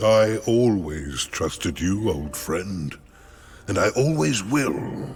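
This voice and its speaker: The speaker puts on a character voice. The pace is very slow. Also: man, fairly low pitch for a man. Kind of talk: formal, archaic speech. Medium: video game. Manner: calm, stately, kindly.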